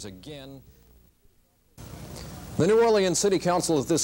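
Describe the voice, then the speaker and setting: This man has an unremarkable speaking voice with lively intonation. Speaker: TV news anchor. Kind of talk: TV news anchor.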